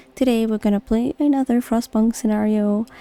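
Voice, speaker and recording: A woman's calm, relaxed tone at a moderate pace, with music in the background and a dry, close sound with no echo. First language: not English. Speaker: gaming YouTuber. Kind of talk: calm gaming commentary. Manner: calm, relaxed, soft-spoken.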